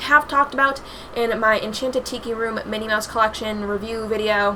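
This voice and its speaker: A woman's speech comes with noticeable background noise around it. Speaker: YouTuber. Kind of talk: casual vlog commentary. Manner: filler-heavy, halting; fast.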